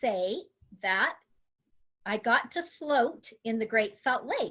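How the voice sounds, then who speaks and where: At a fairly slow pace, a woman with an American accent speaks in a high voice with lively intonation. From Utah. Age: 60s. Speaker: grandmother, substitute teacher. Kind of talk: interview answers.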